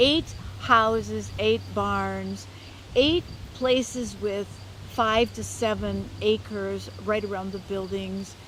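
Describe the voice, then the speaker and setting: A woman with an American accent, with audible room echo and noticeable background noise. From Minnesota, US Midwest. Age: 60s. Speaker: local food farmer. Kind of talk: interview.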